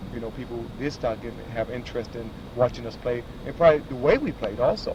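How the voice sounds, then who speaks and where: Speaking at a very fast pace with an American accent, a man makes big swings in loudness over noticeable background noise. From Boston. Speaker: former basketball player. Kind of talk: interview. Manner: halting.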